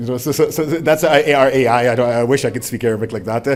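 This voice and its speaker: With ordinary pitch variation and a medium pitch, this man talks at a very fast pace. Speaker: ophthalmologist, clinical trials lecturer. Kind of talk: lecture.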